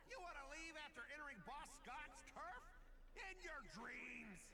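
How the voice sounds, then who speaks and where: A man performs a put-on character voice at an extremely high pitch. He goes at a fairly slow pace over loud background noise. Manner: menacing, taunting.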